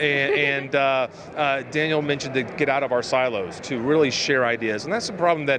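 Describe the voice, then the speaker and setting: There is noticeable background noise as a man talks at a fairly quick pace. His pitch is fairly high, with ordinary pitch variation. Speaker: podcast host. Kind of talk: interview answer.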